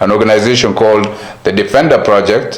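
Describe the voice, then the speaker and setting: There is audible room echo and noticeable background noise as a man talks at a fairly quick pace. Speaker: community activist. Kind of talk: interview. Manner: code-switching Somali and English.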